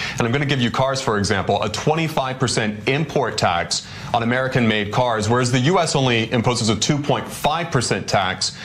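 A man talks at a fairly quick pace with lively intonation and medium pitch. Light background noise can be heard. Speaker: news anchor. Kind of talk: international news analysis. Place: studio. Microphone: lapel.

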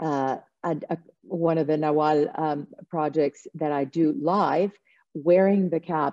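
Speaking in a Spanish accent, the voice has a dark, mellow tone and fairly even intonation. The pace is very slow against a quiet background. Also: woman. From El Salvador. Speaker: visual artist; panelist. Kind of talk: panel discussion. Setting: video call. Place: home room. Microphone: video call.

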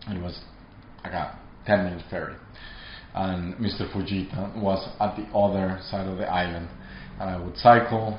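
With a Spanish accent, a man speaks at a moderate pace in a fairly low voice, with audible room echo and light background noise. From Colombia. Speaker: artist. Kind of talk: interview monologue; interview answer. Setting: artist studio. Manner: halting. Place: studio.

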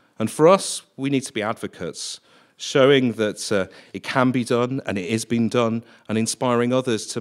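Behind a man talking at a moderate speed, the background stays quiet. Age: 40s. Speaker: theatre production head; conference speaker. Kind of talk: conference talk. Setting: stage with audience. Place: hall. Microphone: podium.

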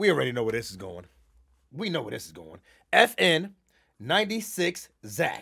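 A man with a fairly high pitch and a bright, sharp tone speaks at a fairly slow pace, animated and with vocal fry. His pitch swings very widely and his loudness swings a lot, over a quiet background. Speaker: livestreamer. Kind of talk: casual live stream commentary. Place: home room.

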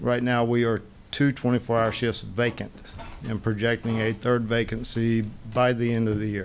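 The man's delivery is rather slow. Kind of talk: public meeting testimony. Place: hall. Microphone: podium.

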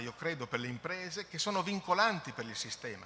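The speech comes at a very fast pace with lively intonation over light background noise. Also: man. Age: middle-aged. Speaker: environmental agency technical director; conference presenter. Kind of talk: conference presentation. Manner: halting. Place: hall. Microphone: podium.

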